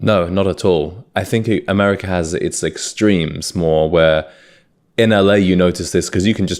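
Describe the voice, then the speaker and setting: A man's very deep, low voice at a moderate pace and fairly even intonation, on a very clean recording with a silent background. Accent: British. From UK, South Wales (Swansea). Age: 20s. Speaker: podcast host. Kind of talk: casual chat.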